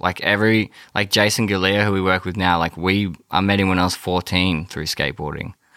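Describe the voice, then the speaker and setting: Recorded very cleanly with a silent background and a dry, close sound with no echo, a man with an Australian accent speaks at a moderate pace with a very deep, low pitch and a bright, sharp tone. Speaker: rock musician. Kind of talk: casual interview. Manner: laid-back, filler-heavy.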